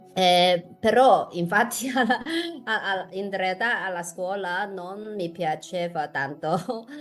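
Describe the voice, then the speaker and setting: Over noticeable background noise, a woman at medium pitch speaks at a very slow pace, with ordinary pitch variation and big swings in loudness. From Hong Kong. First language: Chinese (Cantonese/Shanghainese) (speaking Italian). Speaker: podcast co-host. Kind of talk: casual interview chat. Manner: halting, with many fillers.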